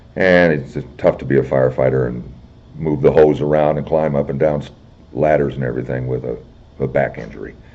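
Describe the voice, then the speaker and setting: Over noticeable background noise, a man with an American accent talks at a fairly quick pace in a very deep, low pitch. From Illinois. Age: 60s. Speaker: military veteran. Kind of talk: oral history interview.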